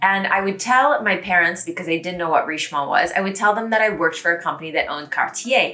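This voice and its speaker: Over noticeable background noise, a woman with an American accent speaks very fast at a medium pitch, her tone upbeat and her intonation lively. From United States. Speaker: YouTuber, French pronunciation explainer. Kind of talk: casual talk to camera.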